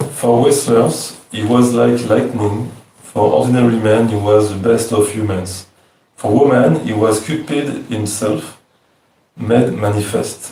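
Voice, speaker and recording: At a fairly slow pace and in a fairly even intonation, a man with a French accent and a medium pitch speaks amid audible room echo. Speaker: devotee reading verses. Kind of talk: reading aloud.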